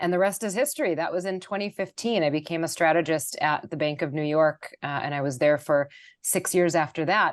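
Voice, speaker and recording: Background is quiet as a woman talks at a fairly quick pace. She has a fairly low pitch and an American accent. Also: ordinary pitch variation. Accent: Wisconsin accent, flattened out a lot. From US Midwest, Milwaukee, Wisconsin. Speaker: investment strategist. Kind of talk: podcast interview.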